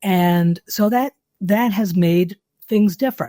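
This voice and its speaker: A woman's dark, mellow tone comes through dry and close with no echo, her pitch moving in an ordinary way. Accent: New York. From US Northeast, New York City. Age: 70s. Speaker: travel writer. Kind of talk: interview.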